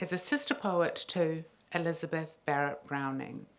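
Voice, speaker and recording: A woman speaks in a New Zealand accent with a fairly low pitch. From New Zealand, Samoan heritage. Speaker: poet and playwright. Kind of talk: public talk to an audience. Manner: conversational, audience-engaging.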